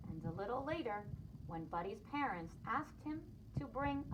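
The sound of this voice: The speaker reads in an unforced reading voice.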